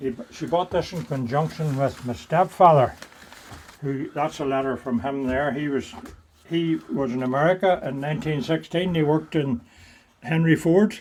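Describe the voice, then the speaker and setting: A man with a Northern Irish accent speaks at a moderate pace, his pitch fairly high with ordinary variation. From Northern Ireland, County Tyrone. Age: 70s. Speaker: retired driller and inventor. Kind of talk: interview answer. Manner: energetic.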